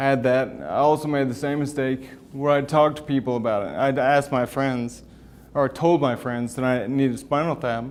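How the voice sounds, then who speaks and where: Mumbling at a fairly quick pace, a man speaks at a medium pitch with fairly even intonation. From US West (moved from Wyoming at ten). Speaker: financial advisor and MS patient speaker. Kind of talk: talk to a patient group. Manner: casual, halting.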